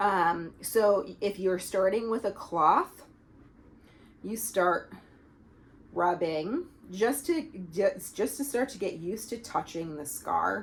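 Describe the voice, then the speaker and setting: Her delivery is very slow, as a woman speaks with long, frequent pauses, big swings in loudness and lively intonation. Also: medium pitch for a woman. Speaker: pelvic health physiotherapist. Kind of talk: tutorial.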